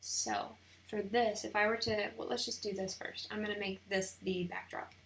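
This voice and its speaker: Noticeable background noise sits under the speech. The delivery is fairly slow in pace. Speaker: wedding photographer. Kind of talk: tutorial. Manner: casual, thinking aloud.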